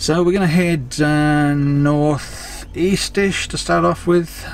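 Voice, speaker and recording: A man's voice amid noticeable background noise. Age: 60s. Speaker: travel vlogger. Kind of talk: casual vlog narration.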